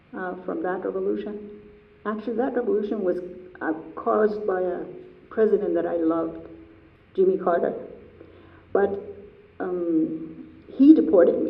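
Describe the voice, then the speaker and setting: A woman with an Iranian accent speaks at a moderate pace, leaving long, frequent pauses. Noticeable background noise and audible room echo fill the recording. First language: Persian. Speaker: artist. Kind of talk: artist talk Q&A.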